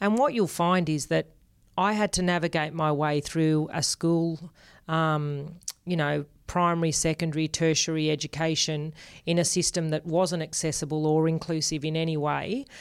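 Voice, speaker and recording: On a very clean recording with a silent background, a woman with an Australian accent speaks at a moderate pace in a very deep, low pitch, with fairly even intonation and very even loudness. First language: Spanish. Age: 40s. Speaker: podcast co-host. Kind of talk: casual interview.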